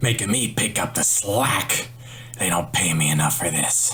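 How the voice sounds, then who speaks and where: Over clear background noise, a man does a put-on character voice at a fairly low pitch and a moderate pace. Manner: grumbling.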